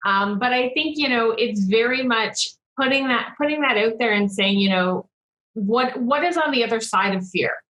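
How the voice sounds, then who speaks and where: Using a normal speaking voice, a woman talks at a moderate pace and fairly high pitch, with ordinary pitch variation and very even loudness. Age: 30s. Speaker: business coach. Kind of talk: casual chat.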